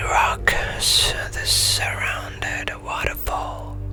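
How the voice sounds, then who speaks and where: A man whispering at a very slow pace over noticeable background noise. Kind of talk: ASMR story reading. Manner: whispered, soft-spoken.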